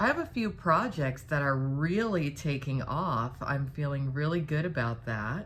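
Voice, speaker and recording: With audible room echo, a woman talks at a fairly slow pace with hardly any pauses. Her voice is very deep and low, with lively intonation. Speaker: live streamer. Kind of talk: casual chat. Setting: live stream.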